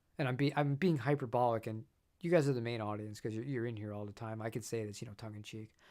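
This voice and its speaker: Speaking at a very fast pace, a man holds a medium pitch with ordinary pitch variation. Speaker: guitar gear YouTuber. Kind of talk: live stream chat. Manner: halting.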